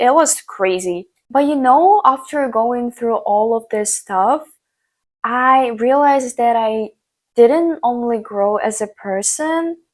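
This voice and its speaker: Very slow speech in an Eastern European accent with lively intonation, on a very clean recording with a silent background. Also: woman, high pitch for a woman. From Ukraine. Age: young. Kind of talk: casual talk to camera. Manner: upbeat, motivational.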